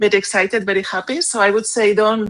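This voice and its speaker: A woman with a non-native accent speaks at a moderate pace and medium pitch, her intonation fairly even. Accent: foreign. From Spain. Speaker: SEO specialist panelist. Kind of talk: panel discussion.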